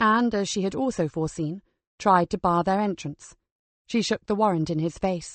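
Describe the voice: Plain reading aloud with ordinary pitch variation sits over a quiet background.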